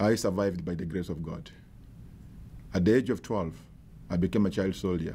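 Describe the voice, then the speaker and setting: With a South Sudanese accent, a man speaks in a very deep, low pitch and a dark, mellow tone. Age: 50s. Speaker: bishop. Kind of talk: advocacy testimony to camera.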